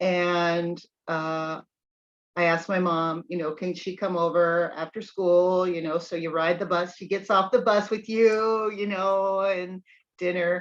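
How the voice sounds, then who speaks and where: Over a quiet background, a woman with a plain, everyday voice speaks at a fairly low pitch and a fairly slow pace, her intonation fairly even. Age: 60s. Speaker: video channel host. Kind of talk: casual chat.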